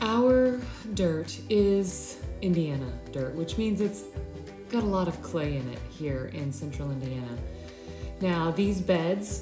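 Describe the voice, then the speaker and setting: Clear music plays behind a woman as she talks. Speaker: home renovation vlogger. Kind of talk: casual vlog chat. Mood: cheerful, upbeat. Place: garden. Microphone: phone near.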